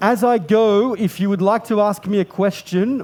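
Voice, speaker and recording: A man with an Australian accent. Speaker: pastry chef demonstrator. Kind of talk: cooking demonstration with live interpretation.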